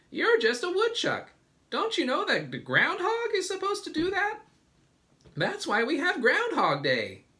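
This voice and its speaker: Squeaky put-on character speech at a moderate pace. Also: man, extremely high pitch for a man. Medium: read story. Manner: excitable.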